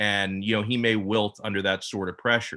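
A man with an ordinary speaking voice, fairly even intonation and a moderate pace. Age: 30s. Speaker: sports radio host. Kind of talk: casual chat.

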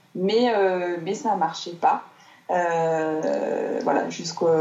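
A woman speaks with medium pitch. Noticeable background noise runs under her voice. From southern France, Marseille. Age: 30s. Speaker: entrepreneur, creator of gratitude journals. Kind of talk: interview. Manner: hesitant, many fillers.

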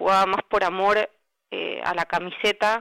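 The sound is dry and close, with no echo. A woman speaks at a moderate pace and medium pitch with monotone, flat intonation. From Argentina, Zárate (Buenos Aires province). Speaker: journalist. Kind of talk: interview about her article. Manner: halting, many fillers.

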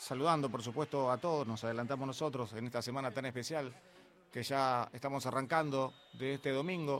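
Speaking fairly quickly with fairly even intonation, a man at medium pitch uses a plain, everyday voice. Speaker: radio DJ host. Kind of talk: radio show. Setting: radio studio.

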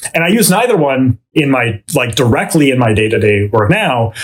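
This man speaks at a moderate pace with a Canadian accent and a somewhat breathy voice. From Vancouver, Canada. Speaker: theoretical physicist, professor. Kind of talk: interview conversation. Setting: studio.

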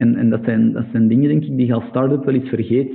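A man talks at a fairly quick pace in a Flemish accent, his pitch varying in an ordinary way. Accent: Flemish Belgian Dutch. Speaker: entrepreneur, business founder. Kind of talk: casual interview.

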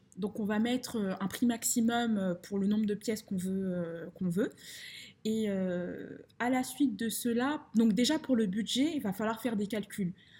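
A woman speaks at a fairly slow pace in a fairly high pitch, her dark, mellow tone somewhat breathy and her pitch varying in an ordinary way. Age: 20s. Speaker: finance consultant and property investor. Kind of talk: casual interview. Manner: halting, many fillers and repetitions.

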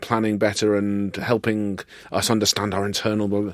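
A plain, everyday voice at a fairly quick pace. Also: man. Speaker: podcast host. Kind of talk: interview chat. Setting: studio.

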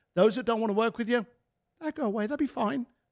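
A man speaks with a British accent. The very clean recording has a silent background and a dry, close sound with no echo. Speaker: author and speaker. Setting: studio.

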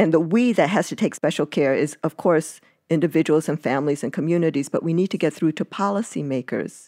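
The recording is very clean, with a silent background and a dry, close sound with no echo. A woman speaks at a fairly quick pace in a very deep, low pitch, with a dark, mellow tone and ordinary pitch variation. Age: 60s. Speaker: epidemiologist and family physician. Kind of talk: interview.

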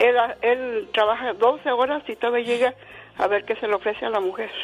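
A woman speaks at a fairly high pitch in an unremarkable speaking voice. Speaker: caller. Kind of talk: casual chat. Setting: phone call.

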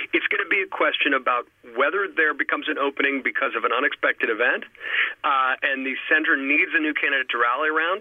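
A man with an American accent talking at a very fast pace over noticeable background noise. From New York City. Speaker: political commentator. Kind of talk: political analysis discussion. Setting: phone call.

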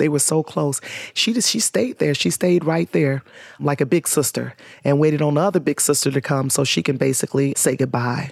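At a fairly quick pace, a woman with a very deep, low pitch and vocal fry speaks with lively intonation and very even loudness, the sound dry and close with no echo. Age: 50s. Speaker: community organizer, nonprofit founder. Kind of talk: interview.

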